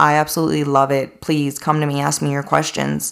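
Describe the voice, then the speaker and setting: At a moderate speed, a woman talks with an American accent. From Pennsylvania. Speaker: podcast host, budtender. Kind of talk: casual monologue.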